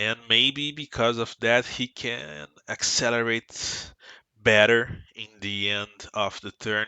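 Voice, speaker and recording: A man with a Brazilian Portuguese accent, medium pitch, and a very slow pace. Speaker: sim racing team member. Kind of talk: tutorial. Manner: halting.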